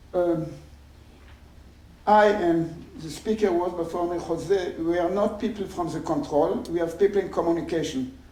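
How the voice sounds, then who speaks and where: Audible room echo surrounds a man with a non-native accent, speaking at a moderate pace. His pitch is high with ordinary variation. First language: not English. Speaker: engineering professor. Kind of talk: conference talk. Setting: stage with audience. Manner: halting.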